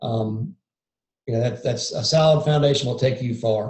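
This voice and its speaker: A man talks fairly quickly, his voice somewhat breathy. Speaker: lidar mapping industry presenter. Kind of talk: webinar presentation. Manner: monotone.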